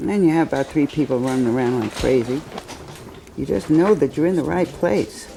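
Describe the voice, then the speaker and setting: Over noticeable background noise, a woman talks at a fairly quick pace. Her very deep, low voice has lively intonation. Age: 80s+. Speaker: hospital patient. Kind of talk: testimony. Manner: halting.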